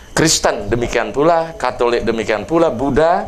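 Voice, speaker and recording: There is audible room echo and noticeable background noise. A man speaks at a moderate pace. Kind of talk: sermon.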